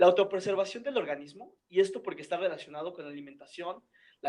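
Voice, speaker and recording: A man's voice at a high pitch. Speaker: physiology tutor. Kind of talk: lecture.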